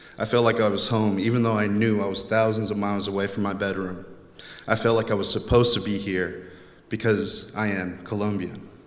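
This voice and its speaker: Talking at a fairly quick pace with an American accent, a man delivers flat, monotone intonation amid audible room echo. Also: fairly low pitch for a man. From Texas, US. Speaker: college student. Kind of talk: speech. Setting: chapel with audience.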